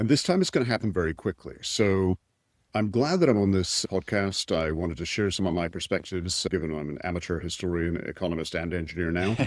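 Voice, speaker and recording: In a Scottish accent, a man with a very deep, low pitch talks very fast with ordinary pitch variation on a very clean recording with a silent background. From Scotland. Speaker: tech executive and entrepreneur. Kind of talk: podcast interview. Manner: blunt.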